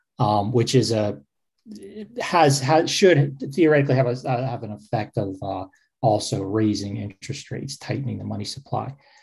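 On a very clean recording with a silent background, a man with a medium pitch and some vocal fry speaks at a moderate pace with ordinary pitch variation. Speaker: publisher and co-host. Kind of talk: casual chat.

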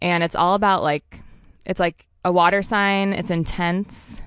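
In a fairly low voice, a woman speaks at a fairly slow pace. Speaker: intuitive astrologer. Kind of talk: casual interview chat.

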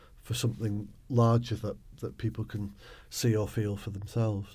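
On a very clean recording with a silent background, the somewhat breathy voice has a dark, mellow tone, moderate pace and ordinary pitch variation. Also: man. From northern England, Bolton, Lancashire. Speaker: poet. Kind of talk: interview.

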